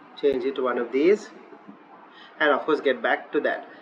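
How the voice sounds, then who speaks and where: Amid noticeable background noise, a man with a Sri Lankan accent talks at a moderate pace and fairly high pitch, with ordinary pitch variation. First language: Sinhala. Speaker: online teaching tutor. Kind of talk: screen-recorded software tutorial. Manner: hesitant, many filler uhs.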